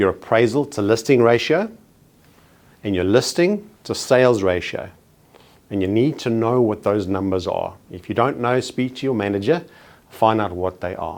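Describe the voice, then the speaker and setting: A man with a South African accent at a moderate pace, medium pitch, and ordinary pitch variation. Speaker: real estate trainer. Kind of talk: training presentation. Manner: formal.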